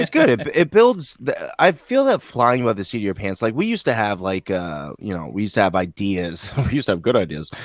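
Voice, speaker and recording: A man with a New England accent talks at a fairly quick pace with lively intonation and hardly any pauses. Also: fairly low pitch for a man. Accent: New England American. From Vermont. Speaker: podcast co-host. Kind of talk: casual chat.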